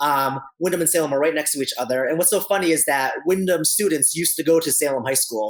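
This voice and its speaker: A man speaks very fast at a fairly high pitch. His pitch varies in an ordinary way. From New Hampshire. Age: 30s. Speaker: band director. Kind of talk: interview. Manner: animated.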